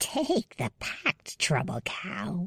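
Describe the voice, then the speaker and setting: A put-on character voice at a middle pitch, with hissing. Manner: threatening.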